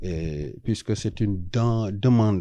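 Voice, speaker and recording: A man with a Senegalese accent speaks in a dark, mellow tone with ordinary pitch variation, in a quiet background. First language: Wolof (speaking French). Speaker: traditional healer. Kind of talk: interview. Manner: hesitant, many fillers.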